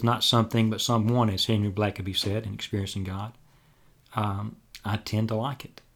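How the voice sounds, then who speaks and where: A man speaks in an Alabama accent at a moderate pace. His pitch is fairly low, his intonation fairly even. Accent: Southern US (Alabama). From US South, Dothan, Alabama. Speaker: pastor. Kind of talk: interview. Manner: halting, many fillers.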